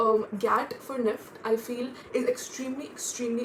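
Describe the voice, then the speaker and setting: A woman's fairly high voice stays flat and monotone while noticeable background noise carries on. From India, Delhi NCR. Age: 20s. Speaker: student vlogger. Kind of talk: casual vlog.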